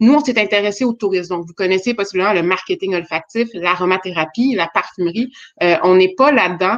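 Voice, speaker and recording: A woman speaks at a fairly quick pace. Her voice is medium-pitched, with ordinary pitch variation. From Quebec. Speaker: startup founder. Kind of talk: webinar presentation.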